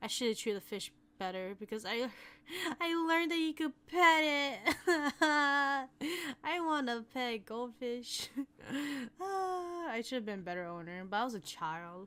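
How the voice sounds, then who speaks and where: A woman with an American accent speaks in a high pitch with a bright, sharp tone. Her moderate pace comes through in a very clean recording with a silent background. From Hmong American. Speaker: ASMR artist. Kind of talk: casual Q&A talk to camera, ASMR style.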